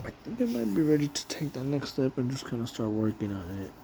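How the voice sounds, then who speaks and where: A man with an American accent, ordinary pitch variation and a moderate pace, over noticeable background noise. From Los Angeles, US West Coast. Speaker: warehouse worker and vlogger. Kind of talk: casual monologue vlog. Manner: unscripted, rambling with repetitions.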